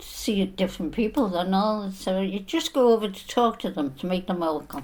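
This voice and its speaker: At a moderate pace, a woman with a Liverpool accent speaks at a medium pitch. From northern England, Liverpool (Everton). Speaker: elderly interviewee sharing memories. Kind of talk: reminiscence interview.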